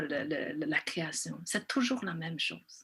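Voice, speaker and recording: Her tone is bright and sharp. The woman's intonation stays lively. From China. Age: 40s. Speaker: film director. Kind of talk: interview. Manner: halting.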